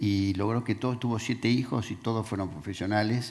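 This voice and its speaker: A man speaks in a Rioplatense accent at a medium pitch. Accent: Argentine Rioplatense Spanish. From Argentina (Rosario area). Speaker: businessman, panelist. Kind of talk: panel interview.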